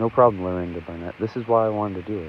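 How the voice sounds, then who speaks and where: Over music in the background, a quiet voice goes at a very fast pace with fairly even intonation. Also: man. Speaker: livestreamer covering local event. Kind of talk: live stream commentary. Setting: outdoors in rain at ceremony. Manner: quiet, talking low.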